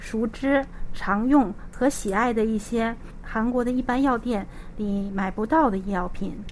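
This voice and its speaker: A woman speaks at a fairly slow pace in a fairly high pitch. She has a plain, everyday voice. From Liaoning, northeast China. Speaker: pharmacist. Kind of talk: interview.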